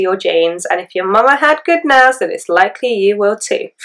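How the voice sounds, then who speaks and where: A woman speaks with an English accent and ordinary pitch variation. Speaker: beauty vlogger. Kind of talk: tutorial. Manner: hesitant, many fillers.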